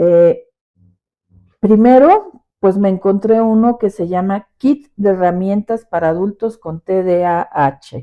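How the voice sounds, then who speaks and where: A woman at medium pitch, very slow pace, ordinary pitch variation. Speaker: podcast host and teacher. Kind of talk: personal reflection podcast. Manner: expressive; forceful.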